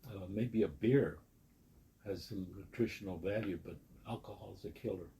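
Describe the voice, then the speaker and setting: Speaking at a fairly slow pace, a man with a fairly low pitch and dark, mellow tone sounds somewhat breathy, with ordinary pitch variation. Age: 80s+. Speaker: recovering alcoholic interviewee. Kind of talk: interview, personal testimony. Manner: halting, repeats words.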